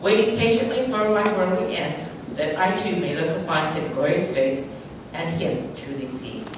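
A moderate pace and lively intonation, with strong room echo and noticeable background noise. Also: woman, fairly low pitch for a woman. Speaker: memorial service speaker. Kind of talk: reading aloud. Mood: solemn, grieving. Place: church.

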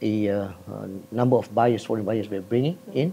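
A man speaks with ordinary pitch variation. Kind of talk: interview answer. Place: hall. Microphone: lapel.

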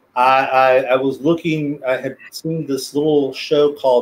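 A man talks at a fairly slow pace in a flat, monotone delivery. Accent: Texan. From South Texas. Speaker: special education teacher and planetarium director; interview guest, teacher. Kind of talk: casual interview. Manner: halting, many repeated words and fillers. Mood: relaxed, friendly. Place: home room.

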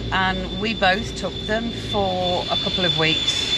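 A woman speaks with a dry sound and no echo. Loud background noise runs underneath. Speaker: travel vlogger. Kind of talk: casual vlog chat. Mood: chatty, teasing. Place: car. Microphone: phone near.

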